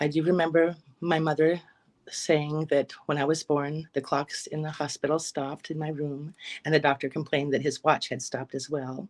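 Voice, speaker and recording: A woman with a General American accent speaks in a very deep, low pitch with monotone, flat intonation. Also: moderate pace. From Alaska. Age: 50s. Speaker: psychic medium. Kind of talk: interview testimony.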